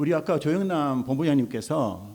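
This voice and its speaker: A man with a Gyeongsang accent speaks with a dark, mellow tone and ordinary pitch variation. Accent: Gyeongsang dialect, noticeable. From South Korea, Gyeongsang (Mungyeong, North Gyeongsang). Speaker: childcare support center association head. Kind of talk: panel forum talk.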